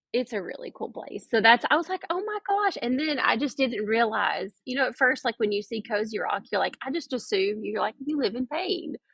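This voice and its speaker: In a strong Georgia accent, a woman speaks at a fairly quick pace with hardly any pauses, her high pitch making very wide swings. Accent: thick Southern US (Georgia). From US South (Blue Ridge, Georgia). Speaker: cabin owner and vacation rental host. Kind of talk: podcast interview.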